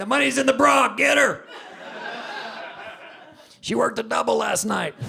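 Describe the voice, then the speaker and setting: With long, frequent pauses, a man in an American accent talks at a moderate pace through noticeable background noise. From Texas. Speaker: stand-up comedian. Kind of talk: live stand-up comedy set.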